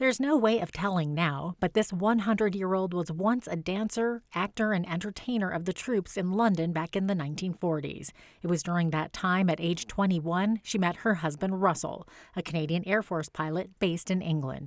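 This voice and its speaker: A woman speaks in an ordinary speaking voice at medium pitch, with ordinary pitch variation. Her moderate pace has hardly any pauses, on a very clean recording with a silent background. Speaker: news reporter. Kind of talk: TV news report narration.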